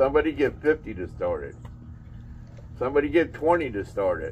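There is light background noise. A man talks at a fairly quick pace. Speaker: storage auctioneer. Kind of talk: auction bid calling. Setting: live outdoor storage unit auction. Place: street. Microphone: camera far.

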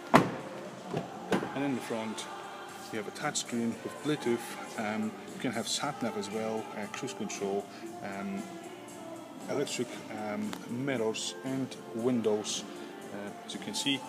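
A man speaks at a very slow pace with long, frequent pauses and ordinary pitch variation. Clear music plays in the background. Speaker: car salesperson. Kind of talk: casual sales walkaround commentary. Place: shop. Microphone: phone near.

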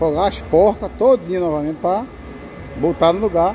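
Over light background noise, a man speaks at a high pitch with ordinary pitch variation. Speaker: truck driver vlogger. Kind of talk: casual vlog chat. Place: workshop. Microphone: phone near.

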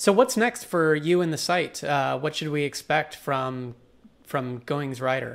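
Using an ordinary speaking voice, a man talks at a fairly slow pace with fairly high pitch and lively intonation. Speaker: blogging channel host; interviewer host. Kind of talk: interview. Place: home room. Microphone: earbuds.

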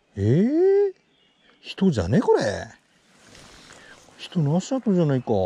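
A man speaks with very wide pitch swings. The sound is dry, with no echo. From Hachinohe, Aomori. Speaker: retired high school teacher. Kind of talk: mumbled monologue while hiking. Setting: outdoors. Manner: relaxed, soothing. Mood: relaxed, mellow, talking to himself. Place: forest. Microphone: phone near.

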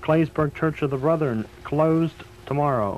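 Over light background noise, a man keeps a moderate pace and fairly even intonation. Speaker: local radio announcer. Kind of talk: emergency radio broadcast, reading closings and cancellations. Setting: AM radio broadcast. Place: studio. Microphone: old recording.

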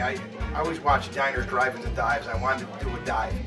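A man speaks with clear music in the background. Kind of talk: interview answer. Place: bar.

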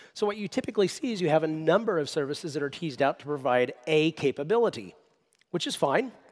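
A man speaking at a very fast pace against a quiet background. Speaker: conference presenter. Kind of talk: lecture. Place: stage. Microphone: headset.

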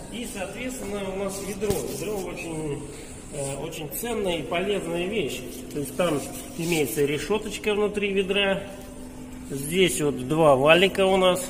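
Amid noticeable background noise, a man with a high pitch and ordinary pitch variation talks at a fairly slow pace, taking long, frequent pauses. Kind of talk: tutorial. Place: hall. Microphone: camera far.

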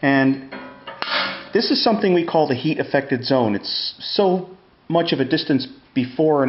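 Fairly slow speech from a man, with ordinary pitch variation and audible room echo

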